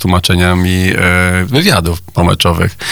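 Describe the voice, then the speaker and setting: A man speaks with a very deep, low pitch. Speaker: Spanish teacher and video maker. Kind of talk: radio interview.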